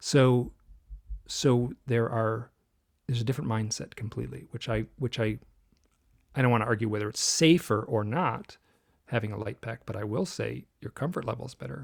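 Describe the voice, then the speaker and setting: Medium in pitch and showing vocal fry, a man talks at a moderate pace with ordinary pitch variation. His speech has long, frequent pauses, on a very clean recording with a silent background. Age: 60s. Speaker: author and illustrator. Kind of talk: interview conversation.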